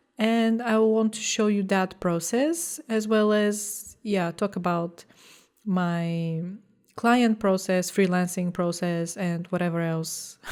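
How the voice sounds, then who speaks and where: A woman with a non-native accent speaks at a medium pitch. Her pace is very slow, and her pitch varies in an ordinary way. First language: not English. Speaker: graphic designer vlogger. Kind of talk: vlog talking to camera. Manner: casual with hesitations.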